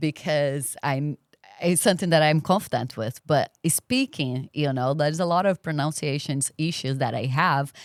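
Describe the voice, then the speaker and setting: Speaking with a Brazilian accent, a woman with a very deep, low pitch talks at a moderate pace with ordinary pitch variation, in a very clean recording with a silent background and a dry, close sound with no echo. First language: Portuguese. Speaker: podcast guest. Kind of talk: interview conversation.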